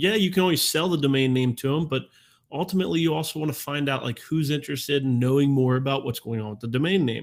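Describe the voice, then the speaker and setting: Speaking at a medium pitch, a man uses ordinary pitch variation. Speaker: domain investing live-stream host. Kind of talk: live-stream talk to community. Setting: live stream. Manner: fast; casual, with many fillers.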